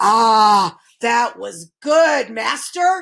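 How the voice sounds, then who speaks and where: A woman puts on a character voice at a fairly high pitch. She bellows in a booming voice. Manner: bellowing, booming.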